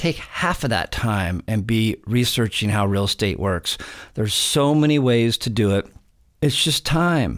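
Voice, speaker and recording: In an unremarkable speaking voice with an American accent, someone speaks at a fairly slow pace with lively intonation and very even loudness on a very clean recording with a silent background. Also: man, medium pitch for a man. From California. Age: 50s. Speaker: real estate investor. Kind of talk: casual chat.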